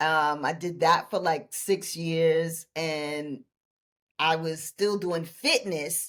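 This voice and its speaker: A woman with a New York accent, fairly low in pitch, at a very slow pace with fairly even intonation. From New York City (Brooklyn). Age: 60s. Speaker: laughter yoga leader and life coach. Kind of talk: interview conversation.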